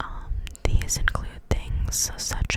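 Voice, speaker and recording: This woman whispers while noticeable background noise fills the recording. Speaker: ASMR creator. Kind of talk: casual talk to camera. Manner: whispered.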